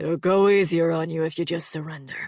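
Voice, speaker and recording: This put-on character voice has a middle pitch and a weary tone. It moves at a fairly quick pace. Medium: read story. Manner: low undertone, weary.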